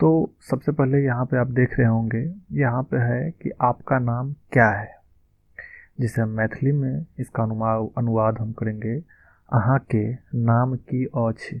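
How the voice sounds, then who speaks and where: A man speaks at medium pitch with ordinary pitch variation in an unremarkable speaking voice. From Madhubani, Bihar, India. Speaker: language teacher. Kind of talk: language lesson talk.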